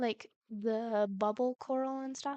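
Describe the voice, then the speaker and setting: A woman speaks quietly at a fairly high pitch in a flat monotone, with a dry, close sound and no echo. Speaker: streamer. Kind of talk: gameplay commentary.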